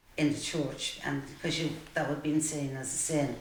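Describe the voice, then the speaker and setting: In a Dublin accent, a woman speaks at a very deep, low pitch with monotone, flat intonation. Room echo is audible, along with noticeable background noise. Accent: Dublin Irish. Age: 60s. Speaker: support group participant. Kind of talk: testimony.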